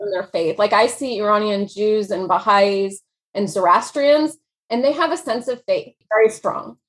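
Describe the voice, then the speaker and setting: With an American accent, a woman speaks at a moderate pace in an unremarkable speaking voice, her fairly high pitch carried by lively intonation. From US Midwest. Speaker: author. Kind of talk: casual interview.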